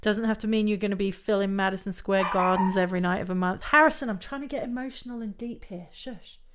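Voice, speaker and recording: A woman's medium-pitched voice in an animated tone, very fast with hardly any pauses and ordinary pitch variation. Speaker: vocal coach and podcast host. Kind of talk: solo podcast monologue.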